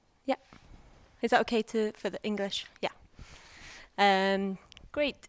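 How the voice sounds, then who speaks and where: A woman speaks with fairly high pitch and fairly even intonation. Her speech has long, frequent pauses. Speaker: event organizer. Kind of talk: event welcome speech. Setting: stage with audience. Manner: hesitant, many fillers.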